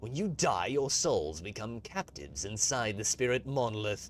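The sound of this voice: Lively intonation runs through the voice. It is an unforced reading voice.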